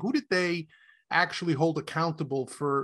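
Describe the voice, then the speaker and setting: The tone is bright and sharp, delivered at a moderate pace with ordinary pitch variation. The background is quiet. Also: man. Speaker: podcast host. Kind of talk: casual sports and pop culture podcast chat. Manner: jokey, chatty.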